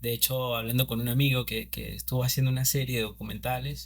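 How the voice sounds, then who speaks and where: With a Venezuelan Andean accent, a man speaks amid audible room echo. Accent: Venezuelan Andean (Mérida), unlike Caracas. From Venezuela, Mérida (Andes). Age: 30s. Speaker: cinematographer. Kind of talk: interview. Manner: halting, many fillers.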